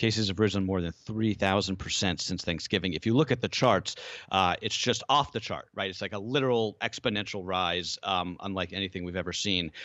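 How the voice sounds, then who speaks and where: A man's ordinary speaking voice, fairly low in pitch, with ordinary pitch variation at a fairly quick pace. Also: hardly any pauses. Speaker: podcast host. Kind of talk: news podcast banter. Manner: conversational.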